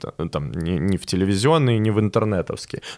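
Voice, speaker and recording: A man with an ordinary speaking voice at a fairly low pitch, moderate pace and ordinary pitch variation, on a very clean recording with a silent background. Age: 20s. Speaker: stand-up comedian. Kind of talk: casual interview.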